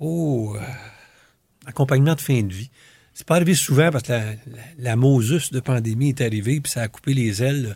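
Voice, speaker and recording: A man with a dark, mellow, somewhat breathy tone speaks at medium pitch and a moderate pace, with ordinary pitch variation, big swings in loudness and long, frequent pauses, on a very clean recording with a silent background. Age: old. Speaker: retired family doctor and volunteer. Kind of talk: interview. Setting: studio. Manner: halting.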